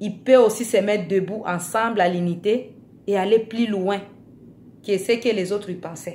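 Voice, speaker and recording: A woman speaks at a moderate pace with a non-native accent, pausing long and often. Her pitch sits in the middle range and her intonation stays fairly even. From Africa. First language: not French (speaking French). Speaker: vlogger. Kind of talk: video monologue. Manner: hesitant, repeating words.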